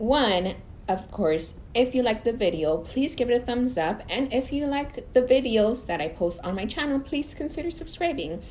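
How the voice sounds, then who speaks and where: Over noticeable background noise, a woman with a high pitch speaks at a moderate pace with hardly any pauses, her pitch swinging very widely. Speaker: beauty YouTuber. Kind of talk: unboxing review. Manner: casual, chatty.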